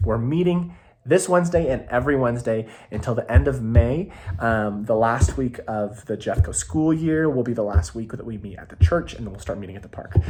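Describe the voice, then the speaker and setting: A man's somewhat breathy, dark and mellow voice at medium pitch, fairly quick, with very wide pitch swings. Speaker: youth pastor. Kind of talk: casual update video to volunteers. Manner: fast; rambling with many fillers.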